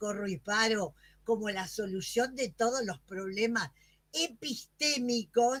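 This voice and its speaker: A woman speaks at a fairly slow pace in a fairly high pitch. Her voice is somewhat breathy. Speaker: academic presenter, music educator. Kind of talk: moderated Q&A at a virtual academic session.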